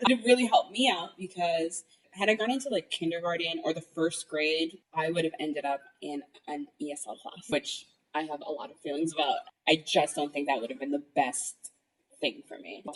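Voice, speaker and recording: A woman with a Spanish accent talks at a fairly quick pace in a fairly low voice, her intonation lively and her loudness swinging widely. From New York City (Washington Heights, Inwood). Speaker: events and partnerships manager. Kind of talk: interview.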